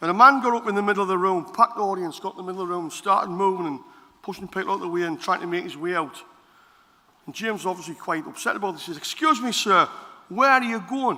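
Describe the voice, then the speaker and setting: A raised, projected voice at a very fast pace, with big swings in loudness and ordinary pitch variation. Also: man, high pitch for a man. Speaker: politician. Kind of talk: conference speech. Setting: stage with audience.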